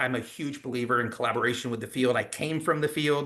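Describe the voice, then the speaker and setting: A man's medium-pitched voice, bright and sharp in tone, with monotone, flat intonation and a quiet background. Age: 60s. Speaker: direct sales executive. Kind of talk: sales pitch. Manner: hesitant fillers.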